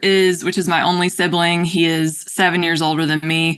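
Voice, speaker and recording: A woman with a North Carolina accent speaks in a bright, sharp tone at a fairly low pitch, with a quiet background. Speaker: podcast guest. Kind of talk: casual interview conversation.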